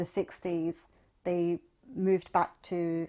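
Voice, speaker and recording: The voice carries a London accent in a monotone, flat intonation. The recording is very clean, with a silent background. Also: woman. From Southwest London. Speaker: technology professional and writer. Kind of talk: oral history interview.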